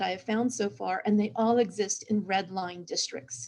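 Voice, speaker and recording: A woman speaks with an American accent at a fairly high pitch. Her voice is somewhat breathy, with a moderate pace and ordinary pitch variation. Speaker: cultural historian. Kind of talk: panel discussion.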